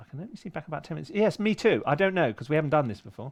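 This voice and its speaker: An animated man with a fairly high voice, very wide pitch swings and a southern English accent, against a quiet background. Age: 60s. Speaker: composer. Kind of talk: casual chat. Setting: livestream from a home studio shed.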